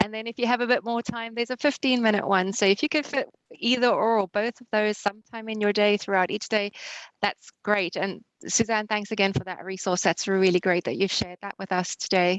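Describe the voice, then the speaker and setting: A speaker with a South African accent talks at a very fast pace with fairly even intonation. The sound is dry and close with no echo over a quiet background. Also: woman. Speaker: webinar host. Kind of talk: online webinar wrap-up.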